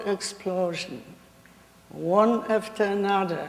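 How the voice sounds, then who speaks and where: A woman at medium pitch with a Polish accent, very slow, over noticeable background noise. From Poland. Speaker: Holocaust survivor. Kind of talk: testimony.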